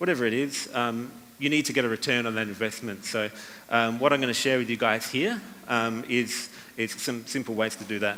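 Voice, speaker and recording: Amid audible room echo, a man talks at a fairly quick pace with a medium pitch and fairly even intonation. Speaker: copywriting speaker. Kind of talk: conference talk. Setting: stage with audience. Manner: fast; many fillers and repetitions.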